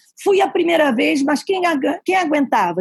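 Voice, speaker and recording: A woman's high-pitched voice. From Brazil, Paraíba (Campina Grande). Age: 60s. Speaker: immigrant former house cleaner. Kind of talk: interview storytelling. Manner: direct.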